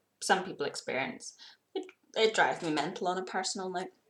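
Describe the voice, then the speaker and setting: Speaking fairly quickly, a woman talks with a British accent. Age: young. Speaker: YouTuber. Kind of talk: personal vlog.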